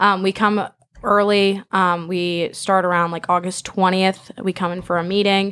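In a monotone, flat delivery, a woman with an American accent talks at a medium pitch. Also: moderate pace. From Southern California, Manhattan Beach. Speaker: college soccer player. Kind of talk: casual interview. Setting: studio.

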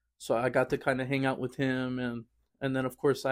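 With an American accent, a man of medium pitch speaks at a moderate pace in a monotone, flat intonation. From Fresno, California, US. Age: young adult. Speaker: church choir singer. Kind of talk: casual interview.

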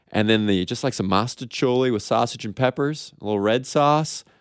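A man with a plain, everyday voice and a medium pitch speaks at a moderate pace, his pitch varying in an ordinary way. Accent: American. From Kansas City. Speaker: TV news reporter. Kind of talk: casual radio interview. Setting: radio studio.

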